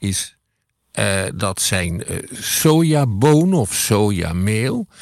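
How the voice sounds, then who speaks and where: A man speaks at a fairly low pitch with very wide pitch swings in a very clean recording with a silent background. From Netherlands. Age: 70s. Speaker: podcast co-host, history commentator. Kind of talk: casual conversation.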